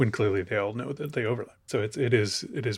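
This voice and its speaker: A man with an American accent at a medium pitch, somewhat breathy, with ordinary pitch variation and a moderate pace. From Chicago, US Midwest. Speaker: film podcaster. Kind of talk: casual chat.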